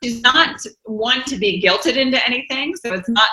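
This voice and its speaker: A woman has an ordinary speaking voice with lively intonation. Her pace is moderate. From US South. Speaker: author and vegan advocate. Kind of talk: interview.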